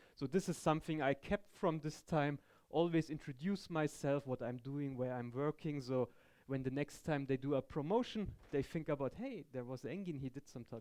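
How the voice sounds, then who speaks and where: This man speaks with a German accent and a fairly high pitch. His pace is moderate. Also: ordinary pitch variation. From Germany. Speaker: tech conference speaker. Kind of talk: technical talk. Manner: halting.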